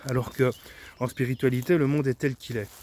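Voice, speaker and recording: This man's medium-pitched voice keeps a fairly even intonation. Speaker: esoteric teacher / YouTuber. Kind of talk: spoken video monologue. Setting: outdoors in a forest. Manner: monotone.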